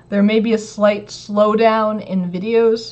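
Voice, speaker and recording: The woman's voice is somewhat breathy. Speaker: maker / DIY electronics youtuber. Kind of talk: casual livestream chat. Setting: home livestream. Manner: casual, filler-heavy.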